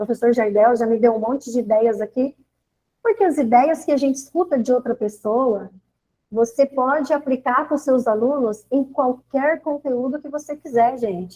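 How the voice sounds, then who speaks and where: Dark, mellow tone in a woman's high-pitched speech. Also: ordinary pitch variation, moderate pace. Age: 60s. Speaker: teacher. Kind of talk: online teacher training talk. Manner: hesitant, with fillers.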